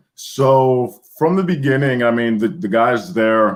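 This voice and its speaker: A man with an American accent speaks at a medium pitch and a fairly slow pace. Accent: American accent when speaking Greek. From US. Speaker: former Greek presidential guard soldier. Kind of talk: interview.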